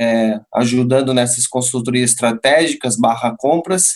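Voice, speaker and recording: This is a man with a medium pitch. He talks at a moderate pace with ordinary pitch variation. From Portugal. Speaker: live marketing lead, company partner. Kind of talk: casual chat. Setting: video call.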